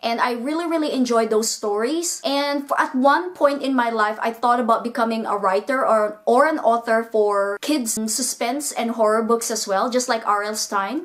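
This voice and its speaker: With a non-native accent, a woman speaks at a moderate pace with hardly any pauses amid noticeable background noise. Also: fairly high pitch for a woman, ordinary pitch variation. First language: not English. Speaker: booktuber. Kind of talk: casual vlog monologue.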